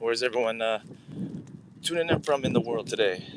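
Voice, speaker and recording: Over noticeable background noise, a man of medium pitch speaks at a fairly quick pace with ordinary pitch variation. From Canada. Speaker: founder live streamer. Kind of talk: casual live stream chat. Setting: outdoors.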